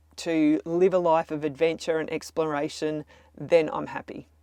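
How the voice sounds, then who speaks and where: A woman speaks fairly slowly in a fairly low pitch, with a plain, everyday voice. The background is quiet. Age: 60s. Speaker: travel vlogger. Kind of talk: vlog monologue to camera.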